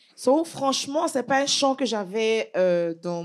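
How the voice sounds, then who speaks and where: On a very clean recording with a silent background, a woman with an Ivorian accent speaks at a very slow pace, her pitch swinging very widely. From Côte d'Ivoire, west (Guéré region, Bangolo). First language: Guéré (speaking French). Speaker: gospel singer. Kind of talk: interview.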